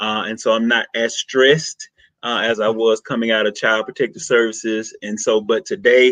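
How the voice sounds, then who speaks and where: An energetic man with a Southern US accent, medium pitch and ordinary pitch variation. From US South, rural Mississippi. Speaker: social worker. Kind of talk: podcast interview.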